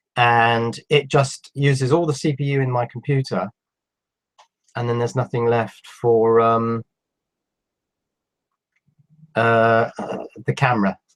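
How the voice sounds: The pitch barely moves, and the pace is fairly slow. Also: man, medium pitch for a man.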